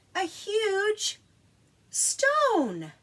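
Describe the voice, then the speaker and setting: Squeaky and extremely high in pitch, a female-sounding voice performs a put-on character voice. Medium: read story.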